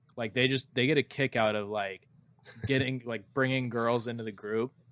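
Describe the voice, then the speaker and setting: A man speaks at a moderate pace at a medium pitch, in a plain, everyday voice. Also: fairly even intonation. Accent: American. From USA. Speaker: podcast co-host. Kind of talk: casual chat.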